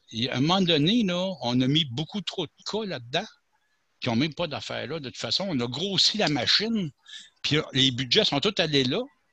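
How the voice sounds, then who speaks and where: A man speaks at a moderate pace with lively intonation and a bright, sharp tone. The background is quiet. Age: 60s. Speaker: caller on talk radio. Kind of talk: phone-in discussion.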